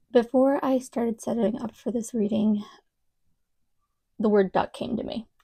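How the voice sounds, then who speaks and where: Fairly high and somewhat breathy, a woman's voice with an American accent has a dark, mellow tone, fairly even intonation and a fairly slow pace. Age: 30s. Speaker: psychic tarot reader. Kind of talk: tarot reading to camera. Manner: casual, hesitant.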